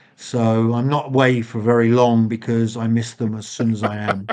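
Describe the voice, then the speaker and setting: A man of medium pitch talks at a fairly slow pace with monotone, flat intonation against a quiet background. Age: 60s. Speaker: former special forces soldier. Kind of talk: interview.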